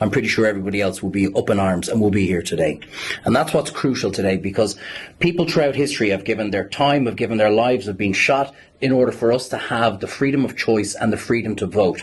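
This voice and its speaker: A man with an Irish accent at a very fast pace, fairly low pitch and ordinary pitch variation, over noticeable background noise. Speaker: campaigner. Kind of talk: press conference speech.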